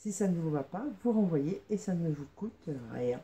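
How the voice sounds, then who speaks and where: A woman speaks very slowly in a somewhat breathy voice with a dark, mellow tone. Her pitch is fairly low, with very wide pitch swings. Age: 50s. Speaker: fashion vlogger. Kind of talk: casual unboxing vlog. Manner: hesitant, many fillers.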